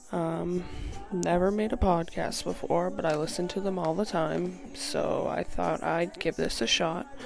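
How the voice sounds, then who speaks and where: Over music in the background, a woman with an American accent speaks at a fairly slow pace. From New Hampshire, US. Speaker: podcast host. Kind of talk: casual monologue. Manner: halting, frequent ums.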